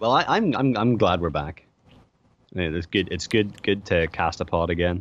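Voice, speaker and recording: A man with a very deep, low voice speaks at a moderate pace. His pitch varies in an ordinary way over a quiet background. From Ireland. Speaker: podcast co-host. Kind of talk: casual chat.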